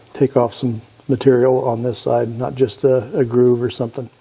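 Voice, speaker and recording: This man talks at a moderate pace in a medium pitch, his intonation monotone and flat. Noticeable background noise is present. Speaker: woodworking machine channel host. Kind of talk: tutorial. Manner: halting.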